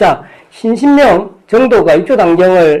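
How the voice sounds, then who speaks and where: Pitched high, a man's voice swings very widely up and down. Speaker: Buddhist monk lecturer. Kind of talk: dharma lecture. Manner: fast.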